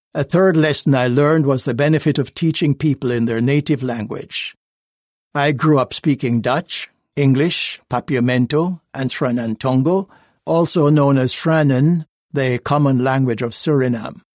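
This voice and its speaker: A man's plain, everyday voice, fairly high-pitched, at a moderate pace with ordinary pitch variation, dry and close with no echo against a quiet background. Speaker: narrator of a magazine article. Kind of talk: reading aloud. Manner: formal.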